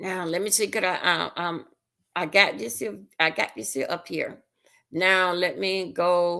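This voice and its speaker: In a very clean recording with a silent background, a woman speaks loudly at a fairly low pitch with a bright, sharp tone. Her pace is fairly slow and her pitch variation ordinary. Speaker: livestreamer. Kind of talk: casual live stream chat. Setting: live stream. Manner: halting, many fillers.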